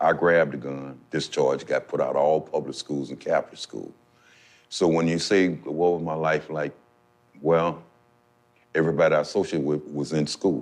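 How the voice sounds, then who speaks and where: Long, frequent pauses in a man's moderately paced speech. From Missouri, Saint Louis. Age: 60s. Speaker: formerly incarcerated person. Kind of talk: testimony.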